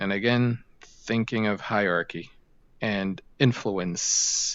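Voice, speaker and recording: A man's fairly low voice with ordinary pitch variation, at a very slow pace. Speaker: 3D sculpting artist streamer. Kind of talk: live stream tutorial chat. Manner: casual, rambling with filler words; slightly slurred.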